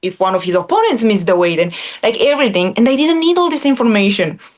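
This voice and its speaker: Speaking with a non-native accent, a woman with a fairly high pitch uses lively intonation over noticeable background noise. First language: not English. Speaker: former MMA fighter turned analyst. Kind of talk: interview.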